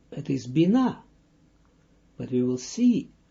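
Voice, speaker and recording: Very slow and somewhat breathy, the delivery comes from a man. He speaks with a Russian accent. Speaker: Kabbalah teacher. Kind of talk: lecture. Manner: halting.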